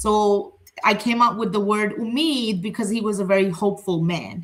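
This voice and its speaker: A woman talks with a somewhat breathy voice at a medium pitch. Her pace is moderate and her pitch variation is ordinary. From Pakistani background. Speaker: therapist, healing center owner. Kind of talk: panel discussion.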